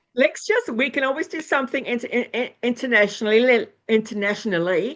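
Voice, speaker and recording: Lively intonation at a very fast pace. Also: woman, high pitch for a woman. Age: 60s. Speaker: astrologer and former nurse. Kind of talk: interview.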